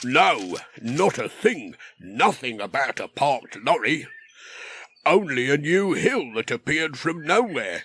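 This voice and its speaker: A man puts on a character voice set fairly high. His pitch swings very widely while he keeps a fairly slow pace. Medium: read story. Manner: officious, plodding.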